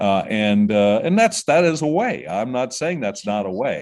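Over a quiet background, a man with a Midwestern American accent talks at a moderate pace and medium pitch, his pitch swinging very widely. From southwest Ohio. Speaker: music industry executive. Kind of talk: interview. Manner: halting, many fillers and repeated words.

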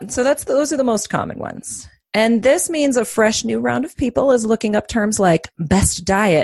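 A woman speaks at medium pitch with vocal fry and very wide pitch swings. Her sound is dry and close, with no echo. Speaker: psychotherapist and life coach. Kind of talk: casual chat.

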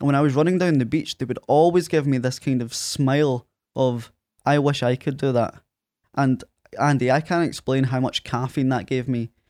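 With a strong Scottish accent, a man speaks at a moderate pace and medium pitch with fairly even intonation, in a very clean, dry, close recording with no echo and a silent background. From Ayr, Scotland. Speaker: podcaster and management consultant. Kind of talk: casual interview chat. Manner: halting, filler-heavy.

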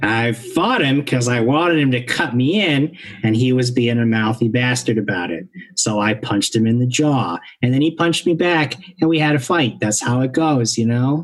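A man does a gruff, put-on character voice at medium pitch and a moderate pace. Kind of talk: street tough talk. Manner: surly, dismissive, gruff.

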